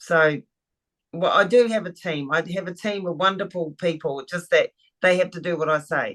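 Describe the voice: A woman's fairly low, fairly bright voice at a moderate pace, with ordinary pitch variation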